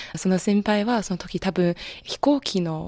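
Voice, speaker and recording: This woman has an unremarkable speaking voice at a medium pitch. She talks at a fairly slow pace with lively intonation. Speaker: graduate student. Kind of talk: speech contest presentation.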